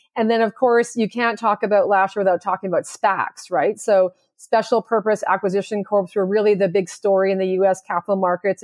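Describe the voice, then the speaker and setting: Speaking in a Canadian accent, a woman uses a normal speaking voice at a fairly quick pace. Her intonation stays fairly even. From Canada. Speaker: stock exchange executive. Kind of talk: interview.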